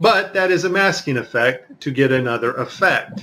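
A man talks with ordinary pitch variation while light background noise is heard. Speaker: video commentator. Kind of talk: commentary. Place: studio.

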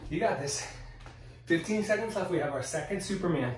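At a moderate pace, a man speaks in an energetic tone with ordinary pitch variation, amid audible room echo and light background noise. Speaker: fitness instructor. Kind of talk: guided workout class, cueing exercises. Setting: video workout at home. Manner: encouraging, energetic.

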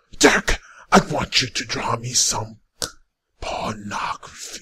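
The put-on character voice is raspy and moves at a fairly slow pace. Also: man, medium pitch for a man. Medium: voice reel. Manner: menacing, threatening.

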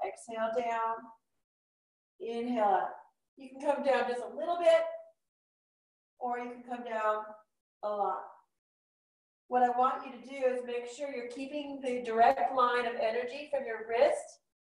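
Leaving long, frequent pauses, a woman speaks at a moderate pace with a high pitch and fairly even intonation, against a quiet background with audible room echo. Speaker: yoga instructor. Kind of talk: class instruction. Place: home room.

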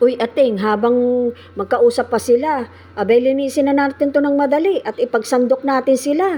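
A woman with a high pitch talks at a fairly quick pace with ordinary pitch variation. Background noise is noticeable. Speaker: vlogger. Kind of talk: casual vlog narration. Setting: outdoors.

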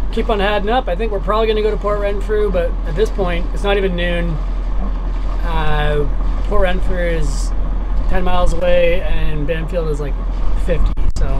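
A man at a moderate pace with long, frequent pauses, over noticeable background noise. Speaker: sailor vlogger. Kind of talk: casual vlog chat. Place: boat. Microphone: phone near.

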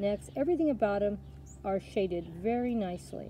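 A woman talks at a moderate pace. Her tone is dark and mellow.

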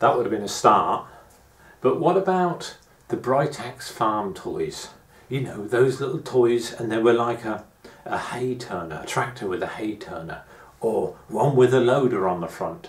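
Audible room echo around a man's fairly slow delivery. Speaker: gardening vlogger reminiscing. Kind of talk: casual vlog chat. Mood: nostalgic, reflective. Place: home room. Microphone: camera far.

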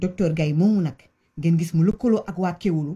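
A woman speaks with a Senegalese accent in a fairly low pitch, her tone dark and mellow. The background is quiet. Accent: Senegalese French with Wolof. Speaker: commentator on Senegalese politics. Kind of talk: angry rant. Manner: animated; loud, heated. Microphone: phone near.

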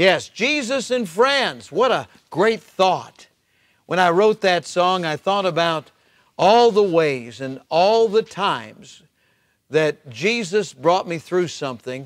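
A man's high-pitched voice at a very slow pace against a quiet background. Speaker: pastor. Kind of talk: devotional talk. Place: church.

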